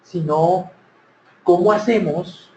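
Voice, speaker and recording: A man with a Cali accent speaks at a high pitch, fairly slowly, with fairly even intonation. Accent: Cali Colombian. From Colombia, Cali. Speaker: speaker on workplace happiness. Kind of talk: conference talk.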